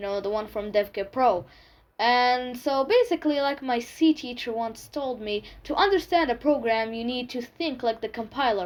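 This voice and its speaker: On a very clean recording with a silent background, a high-pitched woman with a non-native accent talks at a moderate pace with ordinary pitch variation. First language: not English. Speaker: tech tutorial youtuber. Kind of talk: tutorial. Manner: halting, with fillers.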